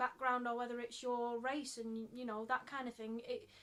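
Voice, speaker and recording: A woman speaks with a Mancunian accent. Her pitch is high. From Manchester, England. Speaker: theatre director and actor. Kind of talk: casual podcast chat.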